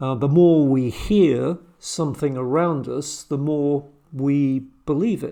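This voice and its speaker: At a very slow pace, a man with a British accent speaks at a fairly high pitch, with a dark, mellow tone and ordinary pitch variation. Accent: British English, Received Pronunciation. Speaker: amateur church historian, video host. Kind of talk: solo talk, informal lecture. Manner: hesitant, many fillers.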